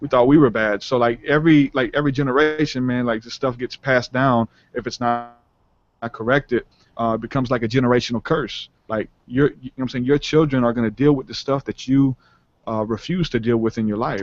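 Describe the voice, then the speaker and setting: A man with a New Orleans accent talks at a fairly quick pace and a medium pitch, with fairly even intonation in a dry, close sound with no echo. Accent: New Orleans Southern US. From US South, New Orleans. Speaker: rapper and spiritual podcaster. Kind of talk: interview conversation. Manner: casual, many fillers.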